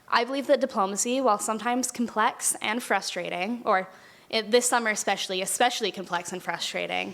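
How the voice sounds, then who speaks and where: A woman talks very fast in a fairly high voice with vocal fry. Her pitch varies an ordinary amount. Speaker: university student intern. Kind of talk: prepared speech.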